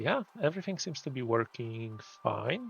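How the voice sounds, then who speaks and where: Speaking at a fairly slow pace, a man with a Polish accent has a medium pitch. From Poland. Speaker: gaming streamer. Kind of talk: casual live stream chat. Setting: live stream. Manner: halting.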